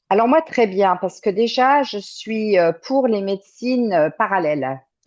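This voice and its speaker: A woman's medium-pitched voice with very wide pitch swings, at a fairly slow pace against a quiet background. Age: 60s. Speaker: client giving a testimonial. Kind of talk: interview testimony. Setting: remote call. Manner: halting, many hesitations.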